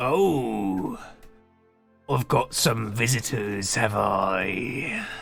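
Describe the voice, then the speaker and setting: A man puts on a raspy character voice at a medium pitch and a very slow pace, with long, frequent pauses. Faint music plays in the background. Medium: actual play. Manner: relaxed, amiable.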